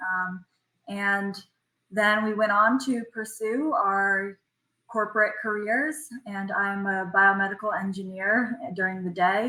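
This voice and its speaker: A woman with an American accent speaks at a fairly slow pace in a bright, sharp tone, medium in pitch, with fairly even intonation. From United States. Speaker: ocean rower. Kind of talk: podcast interview.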